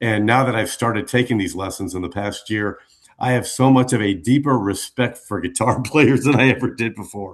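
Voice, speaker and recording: Here is a man with a plain, everyday voice at medium pitch and ordinary pitch variation. He talks at a fairly quick pace. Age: 60s. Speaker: radio DJ. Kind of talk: interview.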